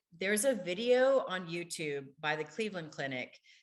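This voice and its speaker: A woman speaks at a moderate pace. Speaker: criminal justice program director and former hostage negotiator. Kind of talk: webinar presentation.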